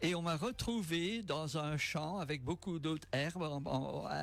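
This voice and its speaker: Over noticeable background noise, a man with a fairly high voice speaks at a fairly slow pace with lively intonation. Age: 70s. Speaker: retired security worker, cyclist. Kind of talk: radio interview. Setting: radio studio. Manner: hesitant.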